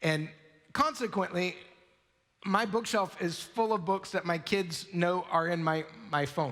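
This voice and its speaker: A man's voice, high-pitched for a man, with ordinary pitch variation, very even loudness, and long, frequent pauses. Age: 40s. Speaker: pastor. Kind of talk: sermon. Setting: church. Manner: fast.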